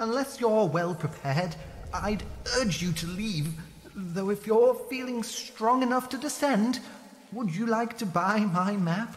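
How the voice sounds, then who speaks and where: Over clear background noise, a female-sounding put-on character voice speaks at a fairly high pitch and a fairly slow pace. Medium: machinima. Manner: friendly, chatty, cautious.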